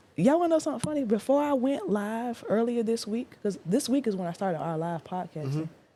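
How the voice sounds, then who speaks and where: A woman at a very fast pace with hardly any pauses, fairly high pitch and very wide pitch swings, over noticeable background noise. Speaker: podcaster. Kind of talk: casual interview chat. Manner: animated.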